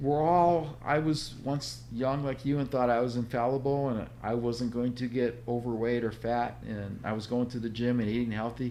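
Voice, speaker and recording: A man speaks with a dark, mellow tone at medium pitch and a moderate pace, barely pausing. His intonation is fairly even, and the room echo is audible. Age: 60s. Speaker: author and health coach. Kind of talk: podcast interview.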